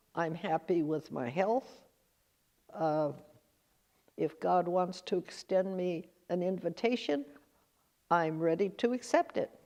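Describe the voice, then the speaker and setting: A woman's fairly low-pitched voice with a West Coast accent, dark and mellow in tone, at a fairly slow pace with long, frequent pauses. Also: ordinary pitch variation. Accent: American West Coast. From Northern California. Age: 90s. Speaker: oral history interviewee. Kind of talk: interview; narration over photos. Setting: museum auditorium.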